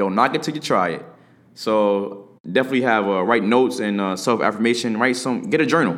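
With an animated tone, a man at a medium pitch speaks at a fairly quick pace with ordinary pitch variation. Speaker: podcast host. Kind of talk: solo motivational podcast talk. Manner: fast.

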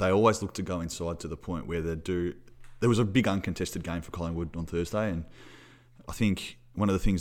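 A man's very deep, low voice with an Australian accent, a very fast pace and fairly even intonation, on a very clean recording with a silent background. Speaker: football podcast host. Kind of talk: casual sports chat, match review.

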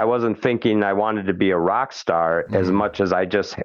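An ordinary speaking voice from a man with an American accent, fairly low in pitch, at a fairly quick pace. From Minnesota, Twin Cities. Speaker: musician. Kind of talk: interview. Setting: phone call.

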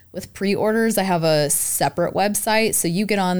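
A woman's normal speaking voice at a moderate pace, with fairly even intonation, on a very clean recording with a silent background. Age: 20s. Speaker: baker and bakery owner. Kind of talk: casual chat.

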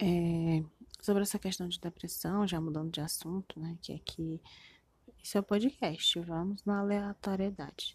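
A woman with a Brazilian accent speaks at a fairly slow pace and a fairly low pitch, somewhat breathy. Her intonation is fairly even, and the sound is dry and close with no echo. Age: 20s. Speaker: podcaster. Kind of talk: personal monologue, confessional. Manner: halting, with many fillers.

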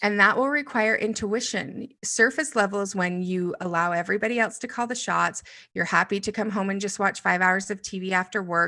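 Against a quiet background, a woman talks at a fairly quick pace in a bright, sharp tone, with ordinary pitch variation and hardly any pauses. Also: medium pitch for a woman. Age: 40s. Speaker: business coach. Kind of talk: interview conversation.

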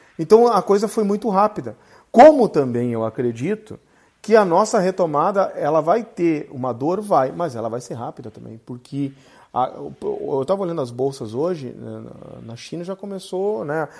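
In a very clean recording with a silent background, a man with a high pitch talks at a moderate pace, his pitch swinging very widely and his loudness varying greatly. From Rio Grande do Sul, Brazil. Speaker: podcast host, company CEO. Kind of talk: interview.

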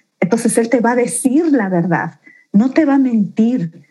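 A woman's somewhat breathy, dark and mellow voice, at a fairly slow pace with ordinary pitch variation. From Bolivia, Beni and La Paz, raised in Santa Cruz. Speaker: leader of a faith-based support organization. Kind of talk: podcast interview, personal testimony. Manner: animated.

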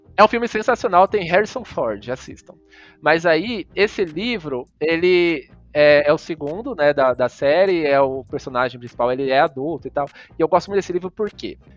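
A man's high-pitched voice with lively intonation. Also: moderate pace. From Cuiabá, Mato Grosso, Brazil. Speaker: psychologist and lecturer. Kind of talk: casual interview chat. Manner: halting, many fillers.

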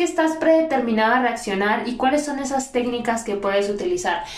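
Lively intonation marks this woman's high-pitched voice. She talks at a moderate pace amid audible room echo. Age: 20s. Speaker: podcast host and teacher. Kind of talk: solo podcast monologue.

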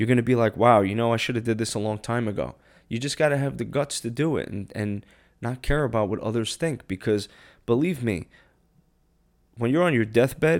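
A man talks at a medium pitch and a fairly quick pace with lively intonation. The recording is very clean, with a silent background. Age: 30s. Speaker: podcast host. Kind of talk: solo anniversary monologue. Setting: home kitchen, solo mic. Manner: low-key.

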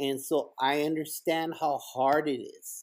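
An animated man with a Spanish accent in a very clean recording with a silent background. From El Paso, Texas / Ciudad Juarez, Mexico. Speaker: school principal. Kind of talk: casual interview chat. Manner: animated, inspirational.

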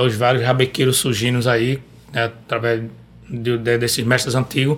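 Over noticeable background noise, a man with a medium pitch speaks at a fairly quick pace. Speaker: singer-songwriter and rabeca player. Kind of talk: casual chat. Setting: studio.

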